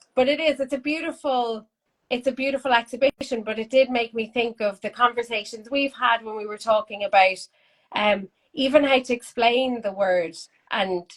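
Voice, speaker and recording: Delivered in an Irish accent, the speech moves at a moderate pace. Its pitch variation is ordinary. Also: woman, fairly high pitch for a woman. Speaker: art school host. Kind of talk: casual chat.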